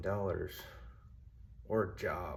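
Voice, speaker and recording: There is audible room echo around a man speaking with fairly even intonation. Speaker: vlogger, former Marine and ex-cop. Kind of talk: casual self-introduction to camera. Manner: monotone; awkward, hesitant with fillers.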